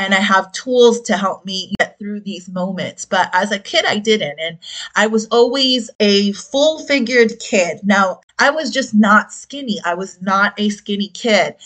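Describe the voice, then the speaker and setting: An ordinary speaking voice with an American accent. It moves at a fairly slow pace with ordinary pitch variation. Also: woman, medium pitch for a woman, hardly any pauses. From South Florida, Dominican family. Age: 40s. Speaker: podcast host, health and fitness coach. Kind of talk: casual personal testimony.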